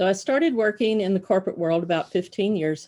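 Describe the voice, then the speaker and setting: A woman speaks with a Texan accent. Her pitch rises and falls in an ordinary way. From Southeast Texas (Beaumont, Port Arthur area). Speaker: telecom expense consultant. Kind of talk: personal introduction presentation.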